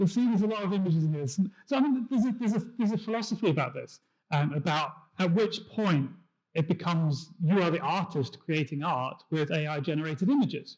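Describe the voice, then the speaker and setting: A man with a British accent, high-pitched, very fast, lively intonation. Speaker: tech industry engineer. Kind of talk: conference talk. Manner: hesitant with fillers.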